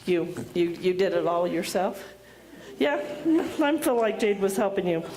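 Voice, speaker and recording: A woman at medium pitch and a moderate pace, with audible room echo and noticeable background noise. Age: 60s. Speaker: school principal. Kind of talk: commencement speech. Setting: graduation ceremony with audience.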